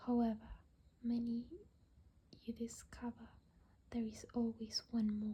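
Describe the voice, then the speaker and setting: Soft-spoken, this speaker goes along at a very slow pace. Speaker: ASMR creator. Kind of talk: reading aloud.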